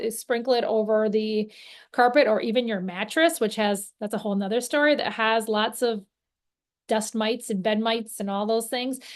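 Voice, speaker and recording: Fairly high-pitched woman's voice against a quiet background. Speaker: natural cleaning workshop presenter. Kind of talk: instructional workshop talk. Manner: fast.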